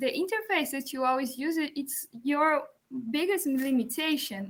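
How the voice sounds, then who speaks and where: The tone is bright and sharp. It comes with a Portuguese accent. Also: woman. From Brazil. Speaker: music student and composer. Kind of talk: conference presentation. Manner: halting.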